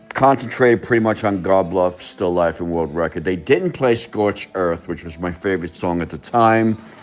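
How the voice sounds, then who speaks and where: Noticeable background noise accompanies a man talking at a moderate pace with ordinary pitch variation. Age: 60s. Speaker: concert attendee recalling a gig. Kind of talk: interview reminiscence. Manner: hesitant, with fillers.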